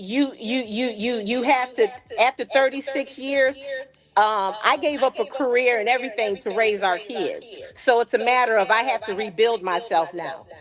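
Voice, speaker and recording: At a moderate pace and high pitch, a woman speaks with ordinary pitch variation over noticeable background noise. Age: 60s. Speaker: caller. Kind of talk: call-in discussion.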